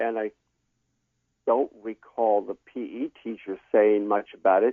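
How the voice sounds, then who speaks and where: Fairly slowly, a man speaks in a plain, everyday voice with medium pitch. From California. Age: 60s. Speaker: former student, interview guest. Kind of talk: interview.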